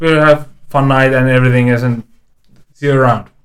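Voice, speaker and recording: The man's voice is medium in pitch, with a monotone, flat intonation. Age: 30s. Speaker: guest. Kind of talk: casual chat.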